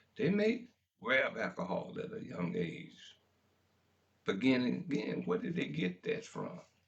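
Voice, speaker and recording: A man speaks with a Memphis accent. His pace is moderate. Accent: Southern US (Memphis) English. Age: 70s. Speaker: talk radio host. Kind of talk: talk radio monologue. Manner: impassioned.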